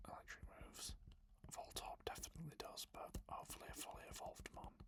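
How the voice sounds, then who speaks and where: Someone is whispering. The pace is moderate. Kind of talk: soft-spoken ASMR gaming commentary. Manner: whispered, soft-spoken.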